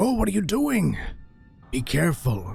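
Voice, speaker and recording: A man performs a raspy, put-on character voice at a moderate pace, his pitch swinging very widely. Faint music plays in the background. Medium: actual play. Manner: gruff, wary.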